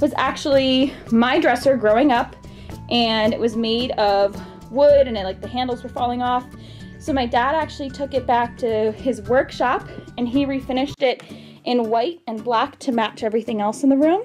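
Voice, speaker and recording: Faint music plays in the background as a woman speaks at a high pitch. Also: ordinary pitch variation, moderate pace. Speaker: expectant mother vlogger. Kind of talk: casual vlog chat. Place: home room. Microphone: phone near.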